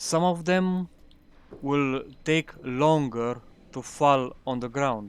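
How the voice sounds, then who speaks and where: A man with a non-native accent speaks at a very slow pace. Long, frequent pauses break up his speech. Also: ordinary pitch variation. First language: not English. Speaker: gaming youtuber. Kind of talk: gameplay commentary. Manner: halting.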